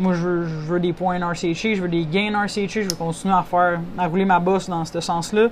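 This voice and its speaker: The speech moves at a fairly slow pace in a monotone, flat intonation, with noticeable background noise and audible room echo. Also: woman. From Quebec, Saint-Hyacinthe region. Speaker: rancher and horse competitor. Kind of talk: interview.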